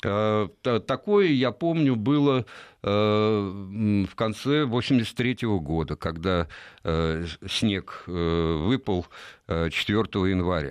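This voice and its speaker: Talking at a very slow pace, a man uses a fairly low pitch. His intonation is lively. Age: 60s. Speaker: ornithologist, bird society president. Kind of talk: radio interview.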